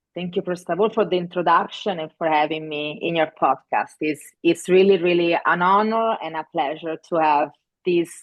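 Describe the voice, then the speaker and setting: In an Italian accent, a woman speaks at a fairly low pitch. Her pace is moderate and her intonation fairly even. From Italy. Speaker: festival director. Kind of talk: interview. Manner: halting with fillers.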